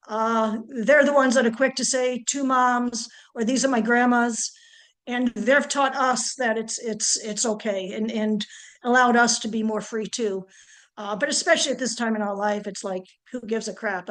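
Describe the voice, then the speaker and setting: Against a quiet background, a woman with a fairly high pitch speaks in a normal speaking voice at a moderate pace with fairly even intonation. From Iowa. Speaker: participant in political listening session. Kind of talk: personal testimony. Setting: video call.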